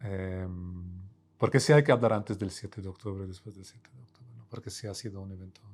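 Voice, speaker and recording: Very fast and fairly low-pitched, a man talks with big swings in loudness. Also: ordinary pitch variation. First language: Arabic (speaking Spanish). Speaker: professor. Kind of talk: interview. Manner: hesitant, many fillers and repetitions.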